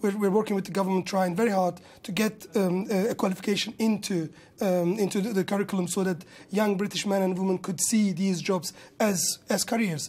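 The speaker has a Kurdish-Turkish accent and a fairly quick pace. Intonation stays fairly even. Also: man, high pitch for a man. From Kurdish region of Turkey. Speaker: restaurant business owner and industry campaigner. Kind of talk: news interview. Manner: halting. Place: studio. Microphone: lapel.

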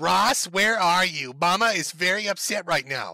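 Putting on a shrill character voice, a man speaks at high pitch with ordinary pitch variation and a moderate pace. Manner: upset, scolding.

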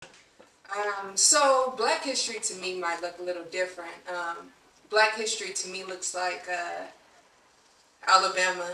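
Amid audible room echo, a woman with a medium pitch and ordinary pitch variation speaks at a fairly slow pace. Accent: American. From Southern California, Long Beach; Southern California. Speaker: poet. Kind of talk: poetry performance. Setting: stage with audience.

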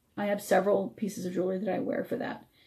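A woman rushes along at a very fast pace, her dark, mellow tone edged with vocal fry. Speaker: radio host. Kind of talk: live radio talk show. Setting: online radio show with video. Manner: friendly, upbeat.

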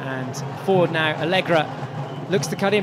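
Amid noticeable background noise, a man uses a raised, projected voice with an upbeat, animated tone. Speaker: hockey commentator. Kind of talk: live sports commentary. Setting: broadcast commentary from match venue. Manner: animated, fast play-by-play, rising excitement at goals; fluent, upbeat broadcaster delivery.

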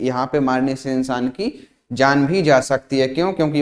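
A man talks at a fairly slow pace. His intonation is fairly even over a quiet background. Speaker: online exam coaching teacher. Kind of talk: lecture. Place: studio. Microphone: lapel.

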